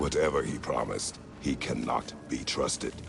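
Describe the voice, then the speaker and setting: Loud background noise surrounds a man doing a cartoonish character voice at a moderate pace. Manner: terse, formal, no contractions.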